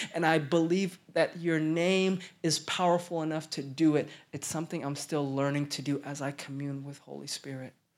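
On a very clean recording with a silent background, a man with an American accent speaks at a moderate pace and a fairly high pitch. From Oklahoma. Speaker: pastor. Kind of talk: sermon. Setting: church. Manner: animated.

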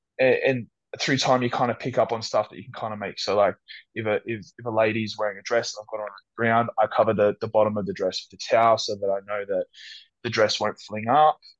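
Speaking fairly quickly against a quiet background, a man with a medium-pitched voice and an Australian accent lets his loudness swing widely. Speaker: fitness model and personal trainer. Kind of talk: casual chat. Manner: animated.

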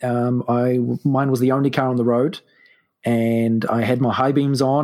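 A man's medium-pitched voice with a New Zealand accent, dark and mellow in tone, monotone and flat in intonation, on a very clean recording with a silent background. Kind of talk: casual chat with storytelling.

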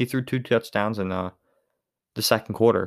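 In a very clean recording with a silent background, the speaker has a Pittsburgh accent, a moderate pace and ordinary pitch variation. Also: man. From Western Pennsylvania. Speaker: podcast host and college student. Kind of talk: solo podcast monologue, sports reaction. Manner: casual, conversational.

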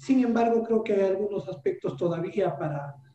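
A man speaks with ordinary pitch variation. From Peru, Cajamarca highlands (Celendín). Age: 40s. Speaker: economist and educator. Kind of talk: interview. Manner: hesitant, frequent fillers.

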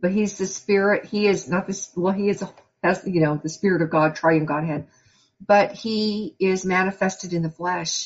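Somewhat breathy, a woman talks at a moderate pace. Her medium-pitched voice keeps fairly even intonation. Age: 50s. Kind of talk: sermon. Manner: conversational.

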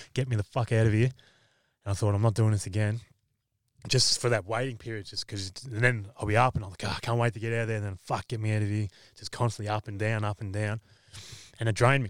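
A man with an Australian accent talks very fast in a fairly low, monotone voice with flat intonation, leaving long, frequent pauses. The recording is very clean, with a silent background and a dry, close sound with no echo. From Victoria, Australia. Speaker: MMA fighter. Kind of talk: casual chat.

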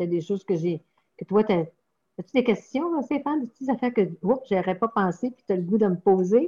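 A woman talks fairly quickly at a medium pitch with lively intonation and a dark, mellow, somewhat breathy tone. The sound is dry and close, with no echo. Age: 60s. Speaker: parish pastoral worker. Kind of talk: interview. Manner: halting.

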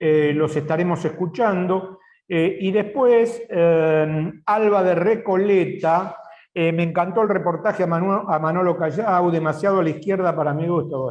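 Speaking at a high pitch and a fairly slow pace, a man keeps a fairly even intonation and very even loudness. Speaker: TV and radio political show co-host. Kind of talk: casual chat.

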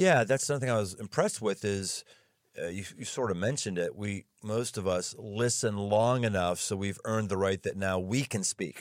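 Over a silent background in a very clean recording, a man speaks at a moderate pace. His pitch is fairly low with ordinary variation, in a plain, everyday voice. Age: middle-aged. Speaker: pastor and podcast host. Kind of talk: casual interview chat; scripted show intro.

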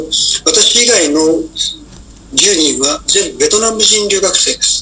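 Noticeable background noise fills the clip. Through it, a man's voice comes across. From Japan, Oita. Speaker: retired diplomat. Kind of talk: radio interview.

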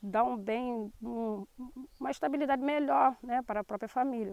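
At a moderate pace, a woman talks in a dry, close recording with no echo, very clean and with a silent background. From Brazil, Angra dos Reis (Rio de Janeiro state coast). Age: 40s. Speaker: teacher and shellfish gatherer, community representative. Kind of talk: interview testimony. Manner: halting, many fillers.

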